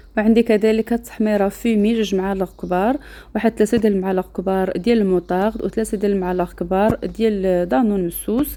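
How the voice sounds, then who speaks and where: Speaking at a fairly quick pace with hardly any pauses, a woman with a Moroccan accent has a dark, mellow tone and fairly even intonation. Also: medium pitch for a woman, very even loudness. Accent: Moroccan Arabic (Darija). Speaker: cooking channel host. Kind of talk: cooking tutorial.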